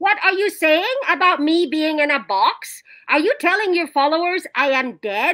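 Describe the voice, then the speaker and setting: A woman's put-on character voice, extremely high in pitch, with very wide pitch swings, a moderate pace and very even loudness. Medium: voice reel. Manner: warm, affectionate.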